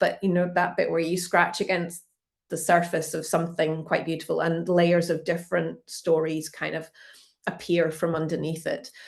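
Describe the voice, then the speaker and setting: With a Scottish accent, a woman speaks at a moderate pace in a fairly low pitch, with vocal fry. Her intonation is monotone and flat, and the background is quiet. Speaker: museum curator. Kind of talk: online art talk presentation.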